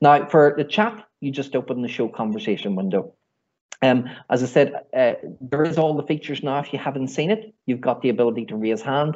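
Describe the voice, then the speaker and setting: The speaker has a Northern Irish accent. The pace is fairly quick. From Northern Ireland. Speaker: IT trainer. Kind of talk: online workshop training. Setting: video call webinar.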